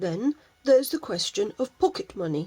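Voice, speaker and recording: A woman's put-on character voice, at a moderate pace with very wide pitch swings. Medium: read story. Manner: hesitant, weighing things.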